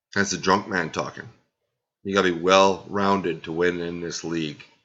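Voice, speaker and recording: Against a quiet background, a man speaks with a very deep, low pitch, a bright, sharp tone and fairly even intonation. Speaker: fantasy football league podcast host. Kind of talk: casual podcast recap. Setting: at home at night, family sleeping. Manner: deliberately quiet, low volume.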